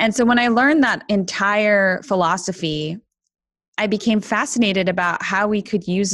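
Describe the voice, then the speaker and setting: A woman with a Canadian accent speaks in a plain, everyday voice at medium pitch and a moderate pace. Her intonation is lively, and the background is quiet. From Canada. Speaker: women's leadership coach and author. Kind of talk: interview.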